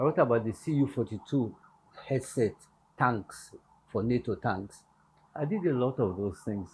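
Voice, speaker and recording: Somewhat breathy, a man at medium pitch speaks at a moderate pace with ordinary pitch variation and long, frequent pauses. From Nigeria, Lagos. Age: 80s+. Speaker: pastor. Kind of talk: interview.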